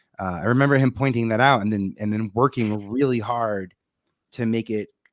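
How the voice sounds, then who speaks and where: Fairly even intonation with an American accent, on a very clean recording with a silent background. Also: man, medium pitch for a man, fairly quick pace. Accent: New York accent, comes out when passionate. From New York City, Staten Island. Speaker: television producer. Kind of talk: casual interview chat.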